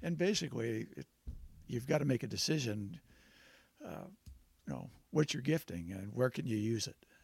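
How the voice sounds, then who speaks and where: A somewhat breathy man's voice at medium pitch and a moderate pace, with lively intonation, big swings in loudness, and long, frequent pauses. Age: 70s. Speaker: retired businessman. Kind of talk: casual chat.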